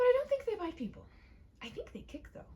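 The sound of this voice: A woman performs a put-on character voice at an extremely high pitch with very wide pitch swings. Her tone is dark and mellow, and her pace is fairly quick.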